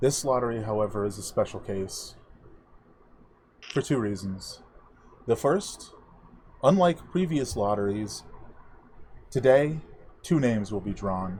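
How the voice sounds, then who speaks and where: A man booms in a put-on character voice at a medium pitch and moderate pace. His intonation is lively, broken by long, frequent pauses. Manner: solemn, formal.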